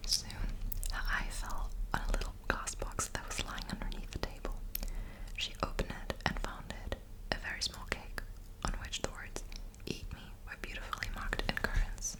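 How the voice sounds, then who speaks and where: The voice whispers in a soothing tone at a moderate pace, with long, frequent pauses. Noticeable background noise is present. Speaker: ASMR creator. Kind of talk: bedtime story reading. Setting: close microphone. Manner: soft-spoken, soothing.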